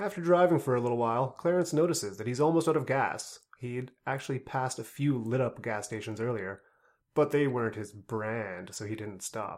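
An unremarkable speaking voice, a man's at medium pitch, moves at a fairly quick pace with lively intonation on a very clean recording with a silent background. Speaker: podcast host. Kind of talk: book review podcast, comedic banter with read-aloud story excerpts.

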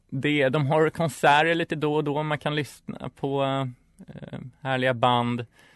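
Using a normal speaking voice, a man with a fairly high pitch talks at a fairly slow pace with fairly even intonation. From Stockholm, Sweden (inner city). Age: 20s. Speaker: student radio co-host. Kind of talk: casual radio chat.

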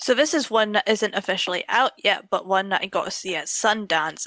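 A woman's medium-pitched voice, bright and sharp in tone, at a fairly quick pace with ordinary pitch variation. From UK. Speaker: film blogger. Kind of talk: casual chat.

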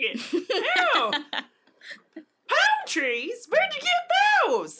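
In a put-on character voice, the speaker uses an extremely high pitch with very wide pitch swings at a very slow pace. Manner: chipper, bright.

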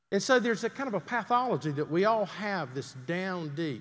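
In a Southern US accent, a man talks at a moderate pace with a high pitch and very wide pitch swings. The recording is very clean with a silent background. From US South, Greenville, South Carolina. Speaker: pastor. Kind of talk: sermon.

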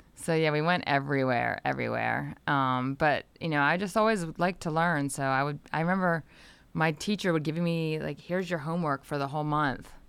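A woman's very deep, low voice with an American accent, ordinary pitch variation and a fairly quick pace, on a very clean recording over a silent background. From Delaware, US. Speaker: antitrust attorney and journalist. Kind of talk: podcast interview.

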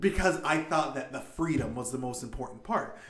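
Speaking at a moderate pace, a man uses a normal speaking voice with ordinary pitch variation. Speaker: game master and podcast host. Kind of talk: casual podcast discussion.

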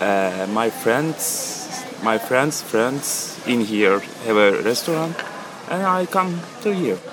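A man speaks with a Turkish accent at a medium pitch, his pitch swinging very widely at a very slow pace. The room echoes audibly, and background noise is noticeable. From Turkey, Istanbul. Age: 20s. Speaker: cafe server. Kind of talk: casual interview. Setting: outdoors at a busy cafe. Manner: halting.

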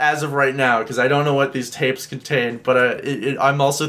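Natural-voiced reading aloud.

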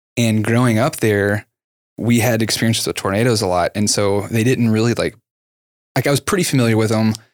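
In an ordinary speaking voice of medium pitch, a man talks at a fairly quick pace with fairly even intonation and very even loudness. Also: very clean recording, silent background. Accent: American. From Texas, Dallas area. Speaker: podcast host. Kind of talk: scripted outro; casual chat.

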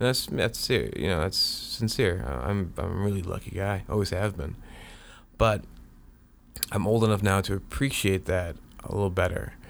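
Speaking at a moderate pace with long, frequent pauses, a man uses a fairly low pitch, lively intonation and vocal fry. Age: 30s. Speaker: podcaster. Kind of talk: personal monologue. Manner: halting, many fillers and repeats.

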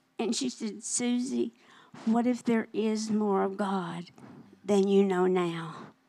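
In a Southern US accent, a woman with a medium-pitched, dark, mellow voice talks at a very slow pace with ordinary pitch variation. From Arkansas, near Little Rock. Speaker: minister's wife sharing testimony. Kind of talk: testimony. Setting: church service.

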